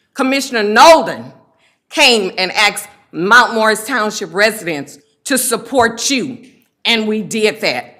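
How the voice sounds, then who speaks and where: A woman talks at a fairly slow pace in a bright, sharp tone with lively intonation. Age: 60s. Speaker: public commenter, township official. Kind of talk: public comment at a meeting. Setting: county board meeting room.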